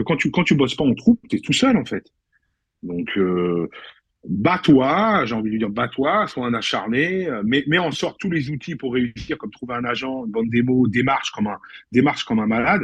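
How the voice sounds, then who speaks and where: Over a quiet background, a man speaks at a moderate pace and a medium pitch. His pitch swings very widely. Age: 50s. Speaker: actor. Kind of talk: casual chat. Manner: animated.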